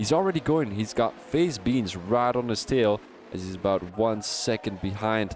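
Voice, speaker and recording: A man with a Dutch accent speaks at a medium pitch over noticeable background noise. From Belgium. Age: 20s. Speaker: sim racing commentator. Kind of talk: live commentary. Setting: live stream. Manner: halting.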